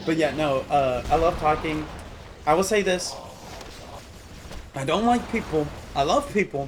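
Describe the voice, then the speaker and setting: Noticeable background noise accompanies a man whose speech is broken by long, frequent pauses. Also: fairly high pitch for a man, ordinary pitch variation, moderate pace. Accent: American. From Southeast Texas. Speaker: video game streamer. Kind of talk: casual gaming livestream chat. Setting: livestream while gaming. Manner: animated, chatty.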